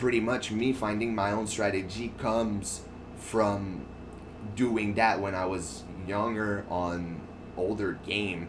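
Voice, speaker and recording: A man talks at a very slow pace with a fairly low pitch. His intonation stays fairly even, and room echo is audible. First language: French. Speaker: gaming streamer. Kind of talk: casual chat over gameplay. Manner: halting, with frequent fillers and restarts.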